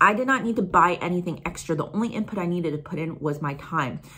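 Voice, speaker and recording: Speaking very fast, a woman uses a fairly low pitch, a bright, sharp tone and ordinary pitch variation. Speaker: YouTuber. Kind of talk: casual vlog chat. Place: home room. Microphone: phone near.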